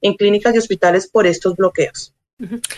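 With a normal speaking voice, this woman sits fairly high in pitch and keeps her intonation fairly even. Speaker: Colombian consular official. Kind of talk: interview. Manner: formal.

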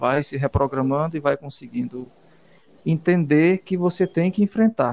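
Heard in a dry, close sound with no echo, a man with a normal speaking voice talks at a moderate pace, fairly high in pitch with ordinary pitch variation. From Piauí, Brazil (Valença). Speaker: musician and songwriter. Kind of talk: radio interview. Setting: radio studio.

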